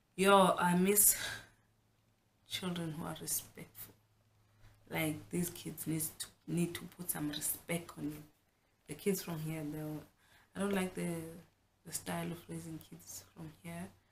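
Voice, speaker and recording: A somewhat breathy woman with a South African accent speaks with long, frequent pauses and big swings in loudness. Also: fairly low pitch for a woman, fairly slow pace. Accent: South African (Xhosa) English. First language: Xhosa. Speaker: vlogger. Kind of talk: casual vlog talk. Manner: animated.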